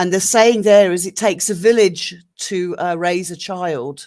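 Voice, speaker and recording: In a very clean recording with a silent background, a woman with an ordinary speaking voice talks at a fairly slow pace, at medium pitch with ordinary pitch variation. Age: 50s. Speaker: live stream panelist. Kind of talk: casual discussion.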